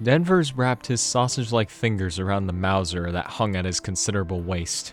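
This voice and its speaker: Music plays in the background as a man speaks at a moderate pace. His voice is fairly low, with ordinary pitch variation. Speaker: narrator. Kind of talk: audiobook narration.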